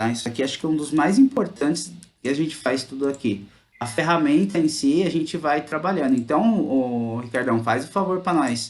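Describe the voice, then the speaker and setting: With a São Paulo interior accent, a man talks at a moderate pace and fairly high pitch, his intonation lively. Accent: caipira (rural São Paulo). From interior of São Paulo state, Brazil. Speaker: teacher. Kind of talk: online class. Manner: casual, conversational.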